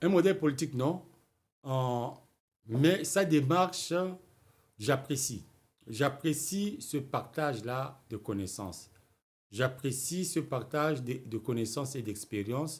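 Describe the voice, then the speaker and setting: Over a very clean recording with a silent background, a man with a medium pitch and a somewhat breathy voice speaks very slowly with lively intonation and long, frequent pauses. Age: 60s. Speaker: writer and political commentator. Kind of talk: political talk show interview. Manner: halting, repeats words.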